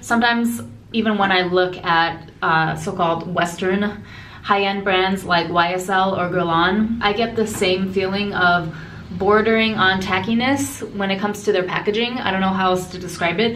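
A woman at a moderate pace, fairly even in intonation, with light background noise. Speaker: beauty vlogger. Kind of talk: casual product review chat. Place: bathroom. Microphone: phone near.

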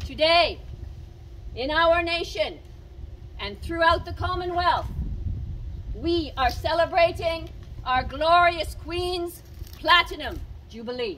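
A woman with an extremely high pitch speaks at a very slow pace, with long, frequent pauses and ordinary pitch variation. Her loudness swings widely over light background noise. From Nova Scotia, Canada. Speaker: town crier. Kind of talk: town crier proclamation, formal public cry. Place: street. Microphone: camera far.

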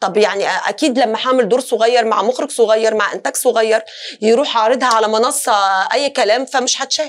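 A woman's fairly high voice at a fairly quick pace, with fairly even intonation. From Tunisia. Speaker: singer and actress; interview guest, actress. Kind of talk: talk show interview. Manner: halting, many fillers and restarts. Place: studio.

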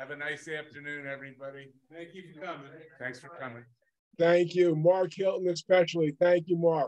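A man's fairly high voice at a moderate pace, fairly even in intonation, with big swings in loudness. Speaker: event moderator. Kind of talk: casual chat. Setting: video call. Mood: cheerful, warm sign-off. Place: home room. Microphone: video call.

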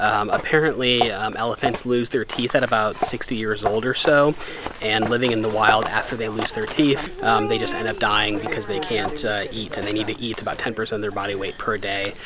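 Speech at a very fast pace, dry with no echo, amid noticeable background noise. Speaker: travel vlogger. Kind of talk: casual vlog chat. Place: open country. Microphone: phone near.

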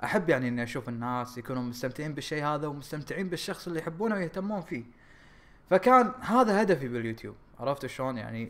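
A man with a fairly high pitch talks at a very fast pace, his intonation lively. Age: 20s. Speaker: YouTube gaming creator. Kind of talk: casual vlog talk. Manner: halting, many fillers.

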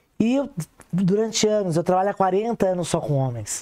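A woman's medium-pitched voice, ordinary pitch variation, moderate pace. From Brazil. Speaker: sex therapist; guest. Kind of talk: casual chat. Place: studio. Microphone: lapel.

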